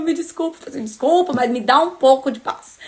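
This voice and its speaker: Over noticeable background noise, a woman speaks in an animated tone with lively intonation. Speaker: bible study teacher. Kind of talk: casual livestream bible study talk. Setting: live stream.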